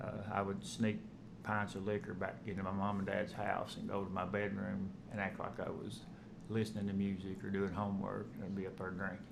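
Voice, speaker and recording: Audible room echo surrounds a man with a fairly low pitch. He moves at a fairly quick pace. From eastern Kentucky (Hazard), Appalachia. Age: 40s. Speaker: former police officer in addiction recovery. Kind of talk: personal testimony. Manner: halting, with frequent fillers and restarts.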